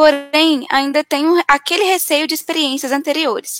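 The voice moves at a moderate pace, the recording dry and close with no echo. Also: woman. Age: 20s. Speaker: event moderator. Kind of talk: live Q&A moderation. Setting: online live event, at home.

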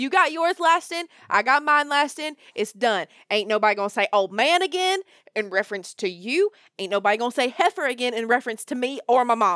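A woman's high, fairly quick voice in a strong Southern US accent, playful and animated with very wide pitch swings, dry and close with no echo, in a very clean recording with a silent background. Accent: Southern US, thick. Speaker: daughter co-host. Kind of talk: casual chat. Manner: playful, animated.

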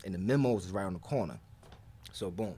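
The speech moves at a fairly quick pace with vocal fry. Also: man. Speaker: podcast co-host. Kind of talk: casual chat. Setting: dim comfortable room.

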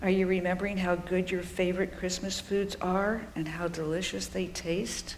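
In a calm, soothing tone, a woman of medium pitch speaks with monotone, flat intonation over noticeable background noise. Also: hardly any pauses. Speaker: preacher. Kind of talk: sermon with guided visualization. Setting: church. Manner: slow, calm, soothing, inviting the congregation to close eyes; warm, gently paced, with pauses and listing images.

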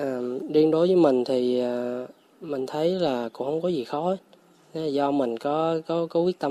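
Here a man speaks with fairly even intonation. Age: 30s. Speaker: forest farm owner, former IT engineer. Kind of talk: radio interview. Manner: casual, with hesitations.

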